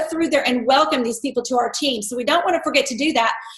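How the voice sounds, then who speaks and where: The speaker is a woman. Room echo is audible around her voice. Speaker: network marketing team leader. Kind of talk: team conference call. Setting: conference call.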